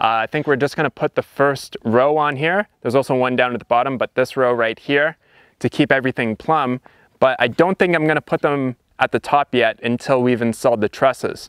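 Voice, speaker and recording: At a fairly quick pace, a man speaks with ordinary pitch variation, the sound dry with no echo over a quiet background. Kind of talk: tutorial. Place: open country.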